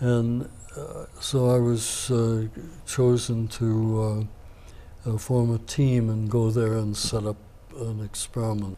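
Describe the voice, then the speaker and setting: A man's medium-pitched, monotone, flat delivery at a very slow pace, over noticeable background noise. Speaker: navy veteran. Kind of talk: interview answer.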